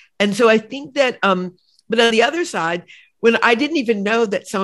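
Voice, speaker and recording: A woman speaks at a moderate pace in an unremarkable speaking voice, fairly high in pitch with lively intonation. The background is quiet. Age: 60s. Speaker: novelist and podcast host. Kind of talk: interview conversation.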